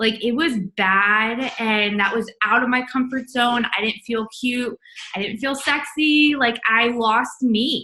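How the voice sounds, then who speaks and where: A woman talks at a very slow pace. Her pitch is high. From US South, Charlotte, North Carolina. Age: 20s. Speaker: network marketing distributor. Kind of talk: testimony. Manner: casual, filler-heavy.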